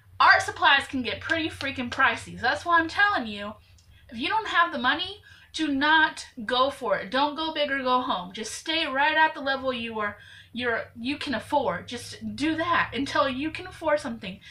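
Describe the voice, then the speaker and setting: Raising and projecting her voice, a woman with an American accent speaks high in pitch with a bright, sharp tone. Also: moderate pace. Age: 20s. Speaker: YouTuber, amateur artist. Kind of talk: tutorial. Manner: casual, chatty with fillers.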